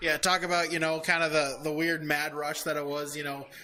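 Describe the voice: With a bright, sharp tone, a man talks at a fairly quick pace in a fairly high-pitched voice that shows little pitch movement.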